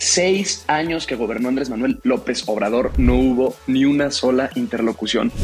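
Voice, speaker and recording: A man talks at a moderate pace with hardly any pauses. Music plays in the background. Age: 20s. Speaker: young politician, legislative adviser. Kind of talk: podcast interview.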